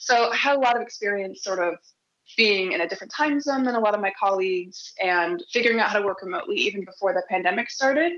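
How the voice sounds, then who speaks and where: A woman talks at a very fast pace with a Nebraska accent. Her pitch sits in the middle range. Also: lively intonation. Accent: Midwestern American (Nebraska). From US Midwest (Omaha, Nebraska). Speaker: software developer, conference speaker. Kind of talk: conference talk.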